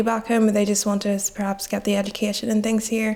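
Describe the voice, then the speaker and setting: A woman speaks at a fairly quick pace with a medium pitch. Her intonation is monotone and flat. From Nigeria, moved to Belfast at 9. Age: young. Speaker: student. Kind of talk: interview.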